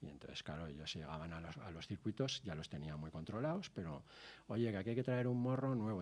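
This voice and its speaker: A man with lively intonation. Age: 60s. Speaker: TV motoring show director and racing driver. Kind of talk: casual interview chat.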